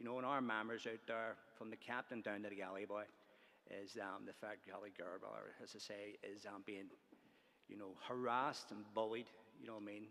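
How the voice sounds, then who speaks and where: A man with a Belfast accent talks in a bright, sharp tone with monotone, flat intonation. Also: fairly low pitch for a man, moderate pace. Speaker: trade union organiser. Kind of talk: conference speech. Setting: conference hall. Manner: hesitant, many fillers.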